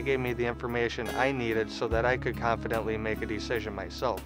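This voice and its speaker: Speech at a fairly quick pace comes with clear music in the background and a dry sound with no echo. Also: man. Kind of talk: interview answer. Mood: earnest, grateful. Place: street.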